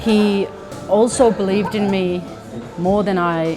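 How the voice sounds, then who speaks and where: Over music in the background, a woman with a Finnish accent speaks with fairly even intonation. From Finland. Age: 30s. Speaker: Muay Thai fighter. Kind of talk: interview answer.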